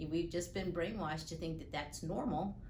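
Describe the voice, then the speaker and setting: Heard with audible room echo, a woman speaks at a fairly low pitch. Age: 60s. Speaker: patient. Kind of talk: testimony. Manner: halting, many fillers.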